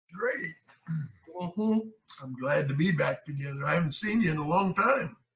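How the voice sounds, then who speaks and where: Pausing long and often, a man with a high pitch and an American accent talks with lively intonation. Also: moderate pace. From California. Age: 80s+. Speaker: actor. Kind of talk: interview answer.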